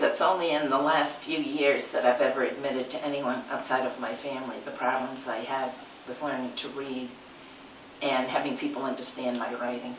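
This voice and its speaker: A woman talks at a fairly quick pace in a very deep, low voice. Noticeable background noise runs underneath. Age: 70s. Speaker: retired reading teacher. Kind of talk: interview answer.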